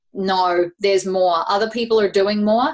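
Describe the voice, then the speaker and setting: With a New Zealand accent, a woman speaks at a medium pitch with fairly even intonation. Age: 30s. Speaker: life coach. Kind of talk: casual interview chat.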